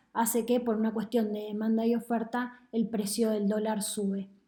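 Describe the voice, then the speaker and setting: At a moderate pace, a woman speaks in a fairly high pitch with monotone, flat intonation, and room echo is audible. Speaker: economist. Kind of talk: lecture.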